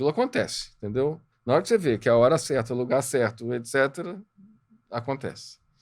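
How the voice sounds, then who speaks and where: The recording is very clean, with a silent background. A man talks at a fairly quick pace in a medium pitch, with ordinary pitch variation. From Minas Gerais, Brazil (Juiz de Fora). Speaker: entrepreneur and board mentor. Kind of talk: podcast interview.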